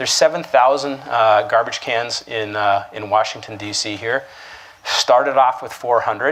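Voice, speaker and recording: A man with a Canadian accent has an unremarkable speaking voice, a medium pitch and ordinary pitch variation. He talks at a moderate pace, his loudness swinging widely. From Canada, Toronto. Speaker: keynote speaker. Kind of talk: keynote speech.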